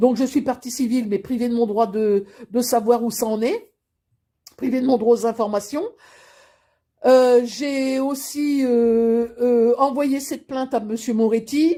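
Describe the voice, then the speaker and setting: A normal speaking voice moves at a fairly slow pace with fairly even intonation on a very clean recording with a silent background. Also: woman. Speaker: grandmother giving testimony. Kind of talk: personal testimony to camera.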